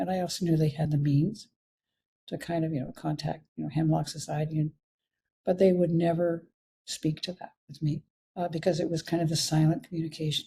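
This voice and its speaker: Speaking at a fairly quick pace, a woman with a Canadian accent has a very deep, low pitch and a dark, mellow tone that is somewhat breathy. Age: 80s+. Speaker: physician. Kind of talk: interview. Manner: halting.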